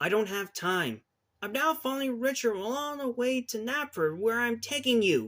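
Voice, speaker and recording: A man puts on a character voice, speaking at a moderate pace with an extremely high pitch. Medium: read story.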